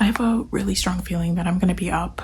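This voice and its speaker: A woman is speaking in a room with audible echo. Noticeable background noise runs behind her. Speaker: vlogger. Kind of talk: casual vlog narration. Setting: apartment room.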